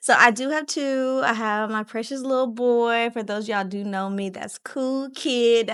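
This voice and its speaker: Speaking at a fairly slow pace with hardly any pauses, a woman keeps an animated tone. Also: fairly high pitch for a woman, ordinary pitch variation. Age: 30s. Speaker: podcast host. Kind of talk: casual chat.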